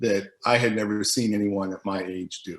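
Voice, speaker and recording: Fairly slow and fairly even in intonation, a man with an American accent speaks at a fairly low pitch. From US Northeast, Boston. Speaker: former basketball teammate. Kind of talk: documentary interview.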